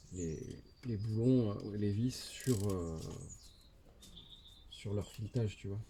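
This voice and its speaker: A man with a fairly low pitch and a dark, mellow, somewhat breathy tone speaks at a very slow pace. Long, frequent pauses break up his speech. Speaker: motorcycle DIY youtuber. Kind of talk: tutorial. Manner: monotone; casual, hesitant with fillers.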